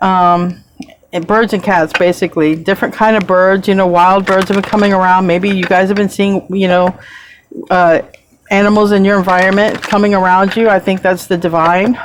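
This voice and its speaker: This woman speaks at a medium pitch with very even loudness. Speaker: tarot reader. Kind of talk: tarot reading. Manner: fast; animated.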